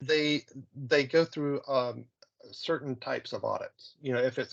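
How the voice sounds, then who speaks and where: A male speaker, moderate pace, quiet background. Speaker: software consultant; presenter. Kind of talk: software demo presentation. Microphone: video call.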